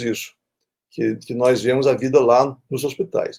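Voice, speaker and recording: A man is speaking. His pace is moderate. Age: 60s. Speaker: infectious disease doctor and professor. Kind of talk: interview. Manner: halting, many repetitions and fillers.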